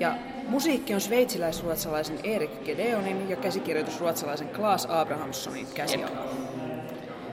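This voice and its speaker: The voice makes very wide pitch swings. Noticeable background noise can be heard. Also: woman, fairly low pitch for a woman, fairly quick pace. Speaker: podcast host. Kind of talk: casual chat.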